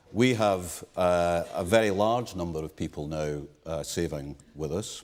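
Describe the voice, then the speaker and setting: A man with a British accent, a very deep, low pitch and ordinary pitch variation. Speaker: pension fund chair. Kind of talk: panel discussion. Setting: conference stage with audience.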